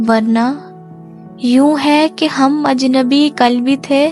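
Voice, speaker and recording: Over music in the background, a woman speaks at a high pitch with monotone, flat intonation. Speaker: voice-over artist. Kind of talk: poetry reading. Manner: emotional, soulful.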